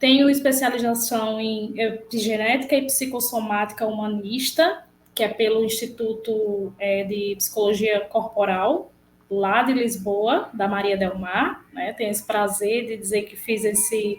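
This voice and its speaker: Someone with a northeastern Brazilian accent speaks at a fairly slow pace with fairly even intonation. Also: woman, fairly high pitch for a woman. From Brazil, Rio Grande do Norte interior. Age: 30s. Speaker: psychologist. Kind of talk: interview.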